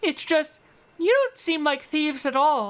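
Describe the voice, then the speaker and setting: In a put-on character voice, a woman speaks at a moderate pace, high-pitched and squeaky. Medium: virtual streamer. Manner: gentle, sincere.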